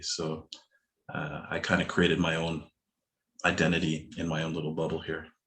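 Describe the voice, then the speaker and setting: With a Canadian accent, a man speaks at a fairly quick pace in a very deep, low pitch. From Canada. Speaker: hip hop emcee. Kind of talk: panel discussion. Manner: calm.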